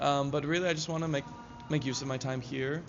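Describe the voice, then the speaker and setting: Monotone, flat intonation with audible room echo. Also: man. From Hawaii. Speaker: acting student. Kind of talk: casual interview. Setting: live stream.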